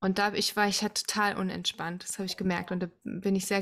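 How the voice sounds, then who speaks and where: Her intonation monotone and flat, a woman speaks at a medium pitch on a very clean recording with a silent background. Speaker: podcast host, musical singer and mother. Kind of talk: casual chat.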